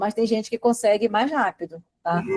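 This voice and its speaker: Fairly high-pitched woman at a moderate pace, ordinary pitch variation, dry, close sound with no echo. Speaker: study coach. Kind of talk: live online class. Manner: animated.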